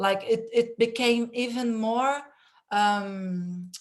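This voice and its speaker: A woman with a Brazilian Portuguese accent at a very slow pace, with ordinary pitch variation. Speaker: panel moderator. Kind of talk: online panel discussion. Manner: halting, many fillers.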